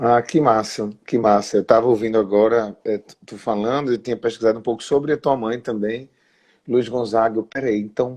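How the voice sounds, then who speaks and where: Over a quiet background, a man with a strong Pernambuco accent speaks at a medium pitch with fairly even intonation and big swings in loudness. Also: moderate pace. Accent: thick Pernambuco. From Pernambuco, Brazil. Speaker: interviewer. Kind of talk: interview.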